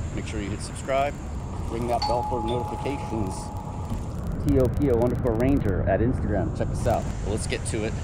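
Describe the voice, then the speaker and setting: Loud background noise surrounds a man speaking fairly quickly with ordinary pitch variation in a dry sound with no echo. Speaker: outdoor treasure-hunting vlogger. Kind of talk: casual vlog chat. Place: waterside. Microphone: phone near.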